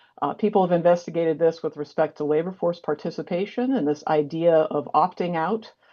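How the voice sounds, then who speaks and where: A woman speaks at a fairly low pitch with ordinary pitch variation. She leaves hardly any pauses. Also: fairly quick pace. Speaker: sociology professor. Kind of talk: academic lecture. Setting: video call from office. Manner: fast.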